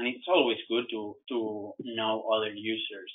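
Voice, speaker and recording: A man with a non-native accent. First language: not English. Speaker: software trainer. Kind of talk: webinar tutorial. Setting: online webinar. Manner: halting, repeats words.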